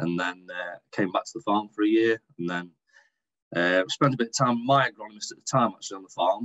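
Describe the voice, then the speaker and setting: Big swings in loudness mark a man's fairly low voice as he talks at a fairly quick pace with ordinary pitch variation. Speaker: agronomist and dairy farmer. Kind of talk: podcast interview.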